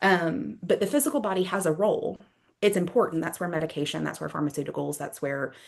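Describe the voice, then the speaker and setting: A woman speaks at a fairly low pitch with vocal fry. Her pitch variation is ordinary. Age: 30s. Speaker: yoga therapist and mind-body practitioner. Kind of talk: interview conversation. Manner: fast.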